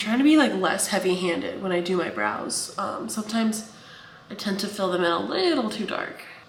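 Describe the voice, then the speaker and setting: Over noticeable background noise and audible room echo, a woman talks fairly quickly at a medium pitch with lively intonation. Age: 30s. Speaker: writer and vlogger. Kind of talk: casual vlog talk. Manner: fast.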